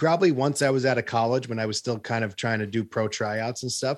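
A man speaks with an American accent in an unremarkable speaking voice. His pitch is medium, his pitch variation ordinary, and his pace moderate. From US Northeast, Long Island, New York. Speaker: guitarist and online video creator. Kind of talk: casual interview. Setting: video call.

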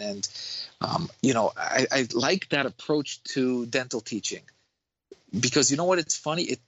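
Talking at a fairly quick pace, a man speaks with a New York accent. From Queens, New York. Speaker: dentist. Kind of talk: casual chat.

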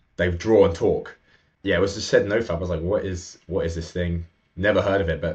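Over a quiet background, a man with a very deep, low pitch talks at a very fast pace in a somewhat breathy voice with fairly even intonation. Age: 20s. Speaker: men's coach. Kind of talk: interview conversation.

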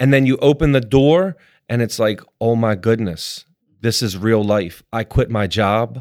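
Speaking at a fairly slow pace, a man with an American accent and a plain, everyday voice talks at a medium pitch with ordinary pitch variation, in a very clean recording with a silent background. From Baltimore, Maryland. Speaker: restaurant owner. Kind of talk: interview.

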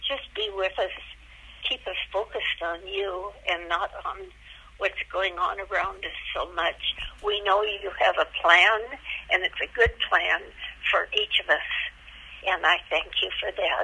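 Speech at a fairly slow pace with long, frequent pauses comes through noticeable background noise. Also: woman. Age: 90s. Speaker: retiree. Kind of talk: prayer.

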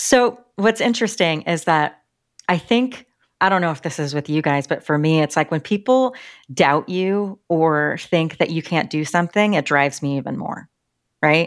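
On a very clean recording with a silent background, a woman with a plain, everyday voice talks at a moderate pace, her fairly low pitch carried by lively intonation. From Colorado. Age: 40s. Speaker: podcast co-host, design operations leader. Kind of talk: casual interview.

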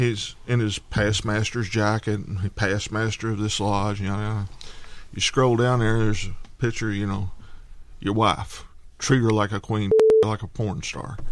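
Monotone, flat intonation at a fairly slow pace. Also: man, fairly low pitch for a man. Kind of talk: casual banter.

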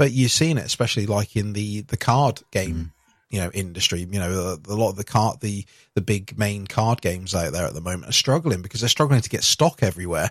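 With a British accent, a man talks at a fairly quick pace using lively intonation. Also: fairly low pitch for a man. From UK. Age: 30s. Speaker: podcast host. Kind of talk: casual chat.

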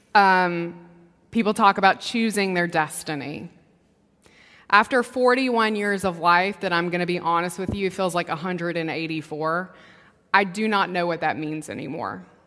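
At a moderate pace, a woman with a fairly low pitch and a bright, sharp tone speaks with ordinary pitch variation on a very clean recording with a silent background. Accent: Southern US. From US South, Mississippi. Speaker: preacher. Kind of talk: sermon. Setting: church.

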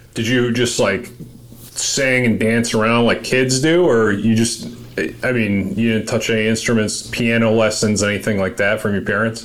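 An American accent at a moderate pace, with fairly even intonation and very even loudness, over noticeable background noise. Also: man, medium pitch for a man. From US Northeast (Massachusetts). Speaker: podcast host and military veteran. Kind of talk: casual interview chat.

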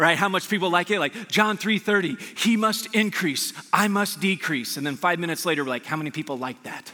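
Fairly quick, with hardly any pauses, a man with an American accent talks at a high pitch with ordinary pitch variation over noticeable background noise. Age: 40s. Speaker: pastor. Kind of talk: sermon. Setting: church service with live audience.

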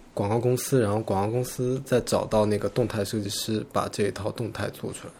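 Somewhat breathy, a man speaks at a fairly quick pace with monotone, flat intonation. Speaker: graphic designer. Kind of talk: casual chat.

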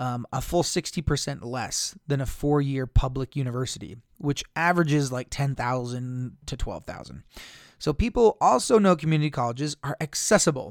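In a very clean, dry, close recording with a silent background and no echo, a man with a plain, everyday voice speaks at a fairly high pitch and a moderate pace with ordinary pitch variation. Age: 30s. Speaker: school counselor and podcast host. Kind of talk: solo podcast talk, partly reading an article aloud.

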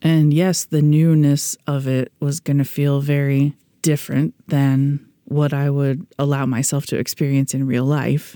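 Speaking fairly slowly with hardly any pauses, a woman uses a very deep, low pitch, a dark, mellow tone, flat monotone intonation and very even loudness, in a dry, close sound with no echo on a very clean recording with a silent background. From US Midwest. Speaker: podcast host and pediatrician. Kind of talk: scripted podcast narration about dream interpretation.

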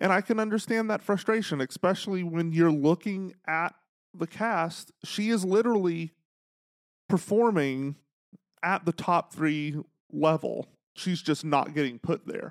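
With an American accent, a man speaks at a high pitch and fairly slow pace with ordinary pitch variation, in a very clean recording with a silent background and a dry, close sound with no echo. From Texas. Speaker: podcast host. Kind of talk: casual chat. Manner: humorous, sarcastic.

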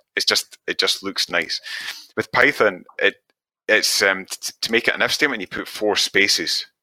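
A man with a Scottish accent speaks at a moderate pace in a dry, close sound with no echo. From west coast of Scotland. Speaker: web developer. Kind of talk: casual chat. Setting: live stream.

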